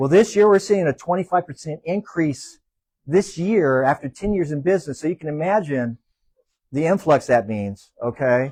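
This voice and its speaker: This man has an unremarkable speaking voice with fairly high pitch, speaking at a moderate pace in a dry, close sound with no echo. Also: lively intonation. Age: 60s. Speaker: small business owner. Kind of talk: panel interview.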